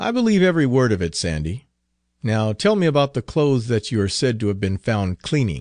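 A man speaks at medium pitch and a fairly quick pace, his voice making very wide pitch swings in a dramatic tone. The background is quiet. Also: dry, close sound with no echo. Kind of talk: audiobook reading. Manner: dramatic, voicing characters.

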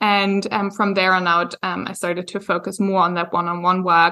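A woman with a German accent. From Germany. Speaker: yoga teacher and business coach. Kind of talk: interview podcast. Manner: frequent hesitations (um).

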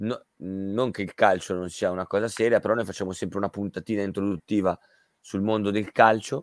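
A man speaks in an ordinary speaking voice at a fairly quick pace, his pitch fairly low and his intonation fairly even, with a dry, close sound free of echo on a very clean recording with a silent background. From Milan, Italy. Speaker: radio host. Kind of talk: casual radio chat. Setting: radio studio.

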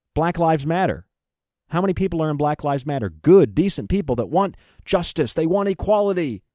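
A man speaks at a fairly quick pace in a fairly high pitch, with lively intonation and a dark, mellow tone. The recording is very clean, with a silent background. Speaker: radio host. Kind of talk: angry rant. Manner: loud, indignant, fiery.

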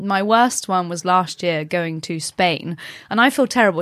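A woman speaks with a British accent at a medium pitch. Her intonation is lively. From UK. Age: 30s. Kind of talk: casual chat.

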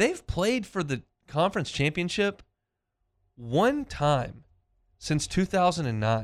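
A man speaks at a very slow pace and high pitch, with long, frequent pauses, very wide pitch swings and very even loudness. The recording is very clean with a silent background. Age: 30s. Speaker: sports radio host. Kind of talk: sports talk radio. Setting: studio.

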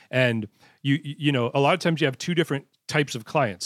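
Dry and close with no echo, a man talks at a fairly quick pace in a normal speaking voice with ordinary pitch variation. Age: 40s. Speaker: traveling event DJ and wedding business coach. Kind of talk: casual interview. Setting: video call.

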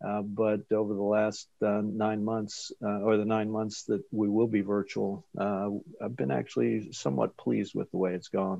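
In an unremarkable speaking voice, a man with an American accent speaks fairly low and fairly slowly with fairly even intonation. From Delaware, US. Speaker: real estate professor. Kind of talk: podcast interview.

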